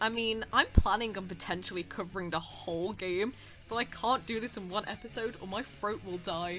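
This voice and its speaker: Someone with a British accent speaks at a moderate pace with ordinary pitch variation, hardly any pauses, and big swings in loudness. Music plays in the background. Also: woman, medium pitch for a woman. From Britain. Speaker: YouTuber and voice actor. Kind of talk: commentary video. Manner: halting, stuttering; awkward.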